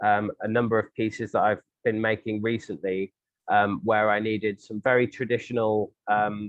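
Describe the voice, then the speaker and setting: In a southern English accent, a man speaks at medium pitch and a moderate pace with monotone, flat intonation. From England, St Albans. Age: 30s. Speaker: glassblower and sculptor. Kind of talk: interview answer.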